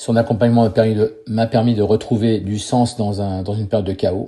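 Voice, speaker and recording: Somewhat breathy and dark, mellow in tone, a man talks at a very fast pace with a fairly low pitch and monotone, flat intonation. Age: 60s. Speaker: retired business owner and karate teacher. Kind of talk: testimony. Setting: podcast interview.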